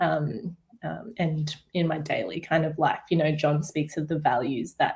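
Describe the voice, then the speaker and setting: An Australian accent at a moderate pace, with ordinary pitch variation. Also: woman. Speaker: artist. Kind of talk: panel discussion.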